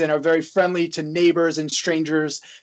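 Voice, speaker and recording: A man's high voice with an American accent. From US South. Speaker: psychology professor. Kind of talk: interview.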